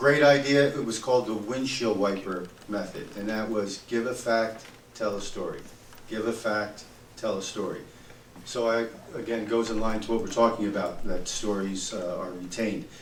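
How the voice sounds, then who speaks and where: Amid noticeable background noise and audible room echo, a man talks at a moderate pace with a medium pitch and fairly even intonation. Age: 60s. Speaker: accountant. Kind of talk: audience comment in panel discussion.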